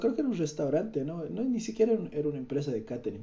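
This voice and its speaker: A man's voice with very wide pitch swings. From Bolivia, Cochabamba. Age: 20s. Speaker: podcaster. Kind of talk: casual monologue. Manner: halting.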